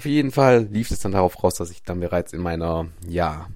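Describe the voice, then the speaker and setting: Fairly quick speech on a very clean recording, silent background. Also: man. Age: 20s. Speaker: podcast host, mindset coach. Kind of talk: solo monologue, personal storytelling.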